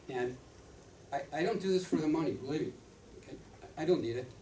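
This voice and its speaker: The room's echo is audible around this man. His pitch shifts in an ordinary way. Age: 70s. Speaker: retired doctor and author endorsing supplements. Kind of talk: product training talk. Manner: halting, repeats words.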